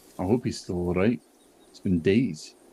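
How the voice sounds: A man with a British accent speaks at a moderate pace in a low pitch with ordinary pitch variation. His tone is dark and mellow, with a slightly husky edge.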